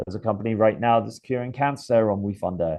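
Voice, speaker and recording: A man with a British accent at a fairly quick pace, with ordinary pitch variation. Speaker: startup investment platform executive. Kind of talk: podcast interview.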